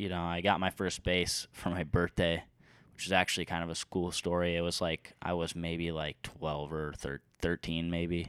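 A very deep, low-pitched man's voice in a Midwestern American accent, monotone and flat, at a moderate pace, with a dry, close sound, no echo, and a silent background in a very clean recording. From eastern Iowa. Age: 20s. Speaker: community college student and musician. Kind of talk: casual chat.

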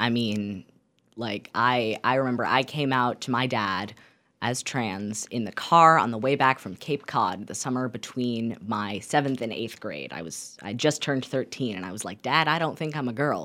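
This woman speaks at a moderate pace in a very deep, low pitch with ordinary pitch variation, a bright, sharp tone and big swings in loudness, on a very clean recording with a silent background. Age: young. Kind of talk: radio interview.

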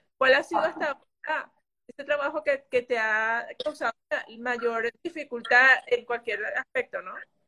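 A woman's raised, projected voice, high-pitched with a bright, sharp tone and big swings in loudness. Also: ordinary pitch variation, fairly slow pace. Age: 40s. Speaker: podcast host and fashion brand owner. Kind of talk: interview.

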